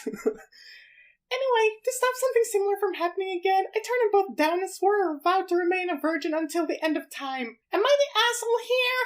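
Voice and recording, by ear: In a put-on character voice, the speaker sounds squeaky with an extremely high pitch, moving at a fairly quick pace with hardly any pauses.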